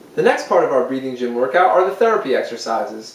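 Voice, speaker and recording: A man's voice with audible room echo. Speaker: music teacher. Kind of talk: tutorial. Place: empty room.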